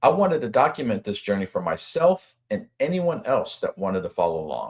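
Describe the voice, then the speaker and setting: A man talks at a fairly quick pace in a very clean recording with a silent background. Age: 50s. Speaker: amateur bowler. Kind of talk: casual vlog talk to camera.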